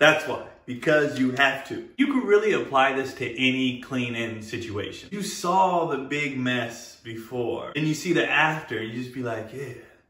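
Against a quiet background with audible room echo, a man talks at a moderate pace with hardly any pauses. His loudness swings widely. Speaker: comedy creator. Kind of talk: casual vlog chat. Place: home room.

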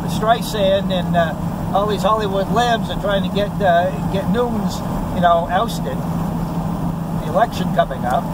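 Over loud background noise, a man talks at a moderate pace in a dry recording with no echo. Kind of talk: casual political chat. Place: car. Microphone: phone near.

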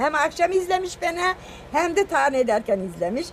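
A woman's voice with music in the background. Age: 70s. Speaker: home cook and social media cook. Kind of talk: reading out viewer comments.

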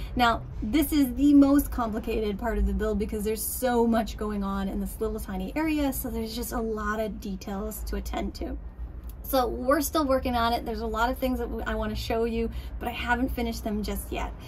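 There is light background noise as a woman speaks at a fairly quick pace. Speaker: boat restorer vlogger. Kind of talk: casual vlog chat. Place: boat. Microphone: phone near.

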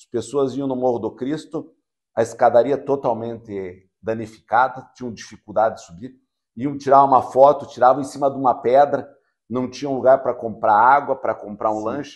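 A man talks at a moderate pace with fairly even intonation, the background quiet. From União da Vitória, Paraná, southern Brazil; Paraná, Brazil. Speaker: mayor. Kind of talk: interview. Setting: university campus. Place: studio. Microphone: lapel.

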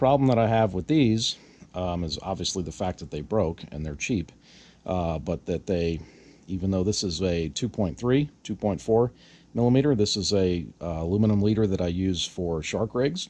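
A man speaks at a moderate pace in a low voice, his tone slightly mellow and his intonation lively.

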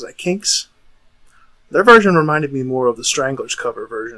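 There is a quiet background behind this man as he talks. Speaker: musician vlogger. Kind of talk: casual vlog chat. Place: home room. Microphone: phone near.

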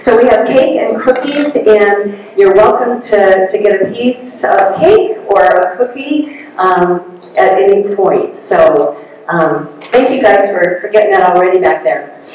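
A woman talks at a fairly slow pace amid strong room echo and light background noise. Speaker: meeting host. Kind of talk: announcements to an audience. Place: hall.

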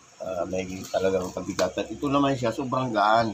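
Speaking at a moderate pace over noticeable background noise, a man has a fairly low pitch and fairly even intonation. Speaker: delivery rider and motovlogger. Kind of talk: product unboxing vlog. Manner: halting, many fillers.

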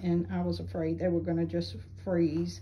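Her pitch is fairly low for a woman, with little pitch movement. The woman talks at a fairly slow pace.

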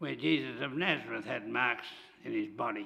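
This man talks at a moderate pace. The background is quiet. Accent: Australian. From Australia. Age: 80s+. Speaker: church charity leader; preacher. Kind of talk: church service leading. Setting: church. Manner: halting. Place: church. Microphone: podium.

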